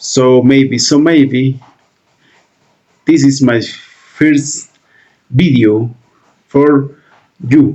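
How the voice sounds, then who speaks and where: A man with a Peruvian accent, fairly high in pitch, at a very slow pace with long, frequent pauses, very even loudness and fairly even intonation. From Peru, Lima. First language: Spanish. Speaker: reaction video creator. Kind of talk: reaction video commentary. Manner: halting.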